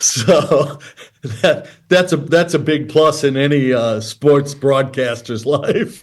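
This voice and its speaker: This man has an American accent and a fairly high pitch. He talks at a very slow pace with ordinary pitch variation. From Detroit, US Midwest. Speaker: former pro baseball pitcher and broadcaster. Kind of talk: podcast interview.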